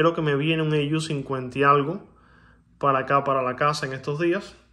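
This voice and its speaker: The tone is bright and sharp. The background is quiet. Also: man. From Cuba. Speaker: coin collector YouTuber. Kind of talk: casual video monologue showing coins. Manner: animated; hesitant with filler sounds. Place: home room. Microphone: phone near.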